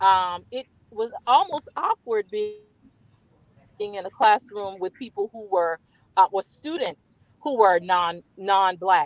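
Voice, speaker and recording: A woman with an American accent speaks at a very slow pace and a medium pitch, her pitch varying in an ordinary way, her loudness swinging widely, with long, frequent pauses and a dry, close sound that has no echo. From US South, Georgetown, South Carolina (Gullah Geechee community). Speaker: community guest. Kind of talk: interview.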